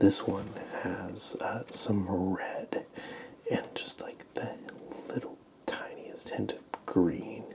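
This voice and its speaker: A man whispers at a very slow pace, with long, frequent pauses. Noticeable background noise sits behind him. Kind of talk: ASMR show and tell. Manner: soft-spoken.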